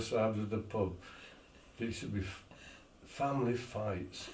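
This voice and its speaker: A man speaks at a moderate pace with a medium pitch. Noticeable background noise runs underneath. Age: 80s+. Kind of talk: casual reminiscing conversation.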